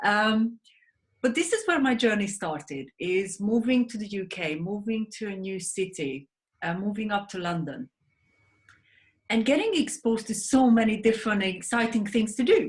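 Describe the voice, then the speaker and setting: Speaking at a moderate pace with a Hungarian accent, a woman uses lively intonation, her fairly high voice somewhat breathy. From Hungary. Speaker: sleep advocate, wellness mentor, author. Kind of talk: interview.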